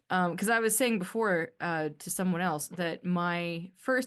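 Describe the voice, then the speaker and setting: A woman with a Canadian accent speaks at a moderate pace, her medium pitch rising and falling in an ordinary way. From Canada. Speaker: podcast host. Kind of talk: casual solo podcast monologue. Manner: halting, many restarts.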